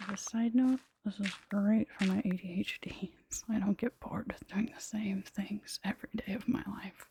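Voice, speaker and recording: Whispering at a moderate pace, a soft-spoken woman sounds dry and close with no echo. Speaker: ASMR creator. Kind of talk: ASMR soft-spoken gaming commentary. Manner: soft-spoken, whispered.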